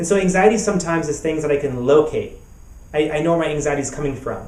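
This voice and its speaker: Someone talks at a very fast pace with audible room echo. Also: man, fairly high pitch for a man, ordinary pitch variation. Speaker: pastor and therapist. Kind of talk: web summit talk. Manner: repetitive, halting.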